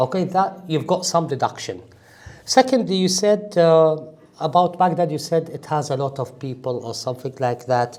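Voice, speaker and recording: A man talks at a moderate pace with a fairly high pitch. He has a normal speaking voice with lively intonation. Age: 40s. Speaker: IELTS trainer. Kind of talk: lecture; mock speaking test. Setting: workshop with audience.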